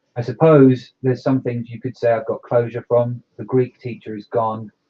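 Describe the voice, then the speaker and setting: Flat, monotone intonation in a somewhat breathy voice. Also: man. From Ireland. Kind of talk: casual chat. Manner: halting.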